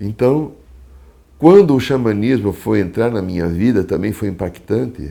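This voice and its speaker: With a dark, mellow tone and a fairly low pitch, a man talks at a fairly slow pace with lively intonation. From Brazil, São Paulo city. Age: 60s. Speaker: psychologist and shaman. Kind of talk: testimony. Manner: halting.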